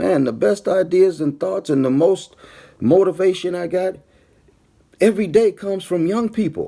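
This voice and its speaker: A man's high-pitched voice with an animated tone, ordinary pitch variation and a moderate pace. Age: 60s. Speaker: pastor and former mayor. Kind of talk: livestream address to viewers. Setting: Facebook live stream. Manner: animated, repetitive emphasis.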